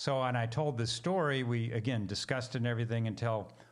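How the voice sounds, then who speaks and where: Audible room echo surrounds a man speaking in a medium pitch with an American accent and ordinary pitch variation. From US Pacific Northwest, Seattle. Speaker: missionary theologian and minister. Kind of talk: interview.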